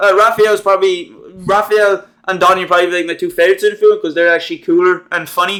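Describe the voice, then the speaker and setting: A high-pitched man's voice, bright and sharp in tone, very fast and monotone with flat intonation. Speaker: movie reviewer. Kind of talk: casual film review monologue. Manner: stutters, repeats words; hesitant, many fillers.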